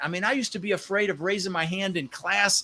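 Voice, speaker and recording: A man speaks at a very fast pace in a raised, projected voice. His pitch is high and his tone bright and sharp. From Netherlands. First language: Dutch. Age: 60s. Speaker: real estate investor. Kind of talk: podcast interview. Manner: animated.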